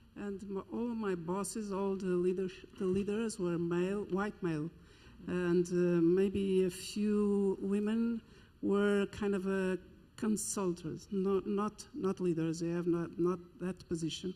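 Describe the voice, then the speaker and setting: A woman with a dark, mellow tone speaks at a medium pitch and a fairly slow pace, her intonation fairly even. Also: very clean recording, silent background. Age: 60s. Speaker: university diversity director. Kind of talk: panel discussion.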